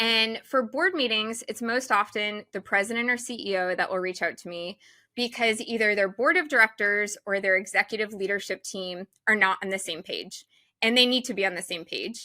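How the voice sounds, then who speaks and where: In a very clean recording with a silent background, a woman speaks in an animated, bright, sharp tone at a fairly high pitch, with ordinary pitch variation and big swings in loudness. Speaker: event designer and consultant. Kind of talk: podcast interview. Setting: studio. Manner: fast.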